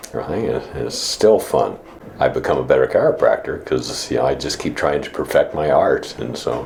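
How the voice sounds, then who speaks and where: Background noise is noticeable in this clip. A man speaks through it at a moderate pace. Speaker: chiropractor and former teacher. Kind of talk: interview testimony.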